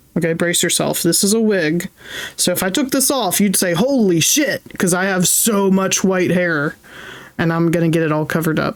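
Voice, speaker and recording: A woman speaks in an animated tone at a moderate pace, with very even loudness and ordinary pitch variation. Noticeable background noise runs underneath. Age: 30s. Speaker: streamer. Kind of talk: casual chat.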